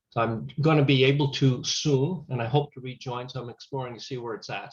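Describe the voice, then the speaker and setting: A man at a very fast pace, somewhat breathy, with fairly even intonation. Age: 60s. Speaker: chaplain and grief counselor. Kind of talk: webinar Q&A discussion.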